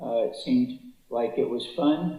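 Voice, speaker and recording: There is audible room echo as a man talks with an American accent. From US West Coast, Los Angeles. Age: 80s+. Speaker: public speaker, author. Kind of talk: testimony. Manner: hesitant, many fillers.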